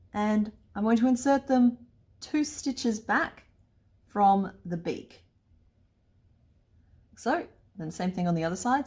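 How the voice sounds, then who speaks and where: Recorded very cleanly against a silent background, a woman with an Australian accent speaks very slowly in a somewhat breathy voice at a medium pitch, her intonation lively. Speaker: crochet pattern designer. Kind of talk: crochet tutorial talk to camera. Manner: upbeat, chatty.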